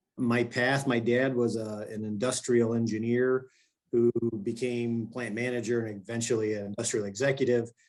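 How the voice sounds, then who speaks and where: A man with a Michigan accent, medium pitch, monotone flat intonation and a moderate pace. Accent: sounds like a Michigan native. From grew up abroad (Italy, Brazil, Argentina), then Michigan. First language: not English; English is third language. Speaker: glass company executive. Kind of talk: casual interview.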